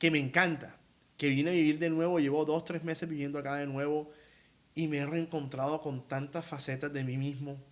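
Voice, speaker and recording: Delivered in a strong Colombian Caribbean accent, the voice is animated and moves at a fairly quick pace. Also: man, fairly high pitch for a man. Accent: costeño Colombian Spanish, strong. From Colombian Caribbean coast, Barranquilla. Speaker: opera tenor. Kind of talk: interview.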